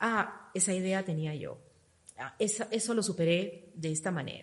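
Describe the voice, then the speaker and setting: A woman's unremarkable speaking voice at a fairly slow pace. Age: 50s. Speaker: fitness program member sharing transformation. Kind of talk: interview testimony.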